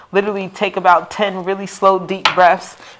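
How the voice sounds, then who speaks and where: Noticeable background noise sits behind a woman whose voice has a medium pitch. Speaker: tarot card reader. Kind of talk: live stream tarot reading. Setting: livestream. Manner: fast.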